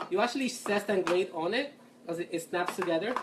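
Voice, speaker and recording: A woman's medium-pitched voice in a Puerto Rican accent at a fairly quick pace. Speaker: culinary student and home cook. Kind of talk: cooking tutorial. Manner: casual, chatty.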